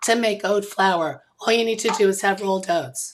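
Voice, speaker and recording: A woman talks at a moderate pace. Her voice has vocal fry. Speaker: show host. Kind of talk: casual chat.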